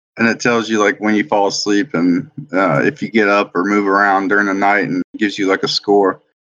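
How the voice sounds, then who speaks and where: This man has an unremarkable speaking voice, fairly low in pitch, and talks at a fairly quick pace. His intonation is fairly even and his loudness stays very even. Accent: American. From South Carolina. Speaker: retired Air Force veteran, stay-at-home dad. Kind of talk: casual chat.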